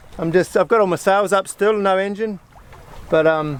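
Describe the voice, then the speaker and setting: A man's voice with noticeable background noise. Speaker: solo sailor. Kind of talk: casual vlog talk to camera. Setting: outdoors. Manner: upbeat, relaxed.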